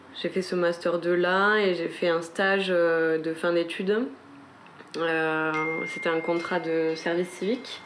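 Speaking at a very slow pace, a woman keeps a fairly low pitch with fairly even intonation and very even loudness. Noticeable background noise is present. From French Pyrenees, south of Haute-Garonne. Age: 20s. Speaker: interviewee. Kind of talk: casual chat. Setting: home balcony. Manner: hesitant, many fillers.

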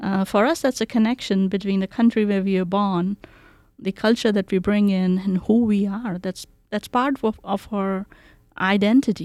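A woman speaks with an Indian accent at a moderate pace, her pitch varying in an ordinary way. Her tone is dark and mellow, and the sound is dry and close with no echo. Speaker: community outreach director. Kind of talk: interview. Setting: video call.

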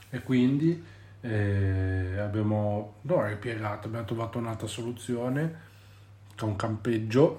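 Somewhat breathy, a man talks at a very slow pace with long, frequent pauses, ordinary pitch variation and audible room echo. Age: 30s. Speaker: podcast host and parent. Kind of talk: casual chat. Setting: at home with children. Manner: halting.

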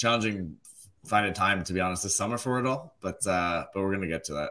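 Fairly low in pitch with ordinary variation, a man speaks in a plain, everyday voice. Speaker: podcast co-host. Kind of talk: interview.

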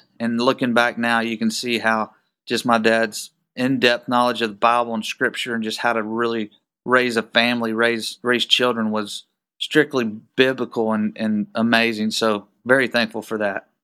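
A man with a Texan accent, a bright, sharp tone and monotone, flat intonation, on a very clean recording with a silent background. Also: medium pitch for a man, moderate pace. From Texas. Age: 40s. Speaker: business owner. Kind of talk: casual interview.

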